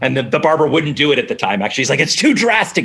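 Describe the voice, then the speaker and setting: A fairly high-pitched man with an American accent and very wide pitch swings, over noticeable background noise. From Boston area, Massachusetts (Newton). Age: 40s. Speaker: TV executive producer. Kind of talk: casual interview.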